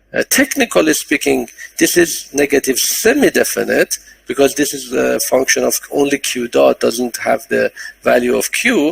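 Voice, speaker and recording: Against noticeable background noise, a man speaks at a moderate pace with a dry, close sound and no echo. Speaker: professor. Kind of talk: lecture. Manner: halting.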